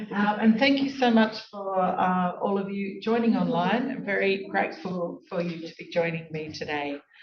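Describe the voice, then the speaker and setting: Speaking with a rural Australian accent, a woman keeps a moderate pace and medium pitch, with ordinary pitch variation, hardly any pauses and noticeable background noise. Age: 50s. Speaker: law professor and guest lecturer. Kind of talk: academic lecture. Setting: lecture hall with online audience.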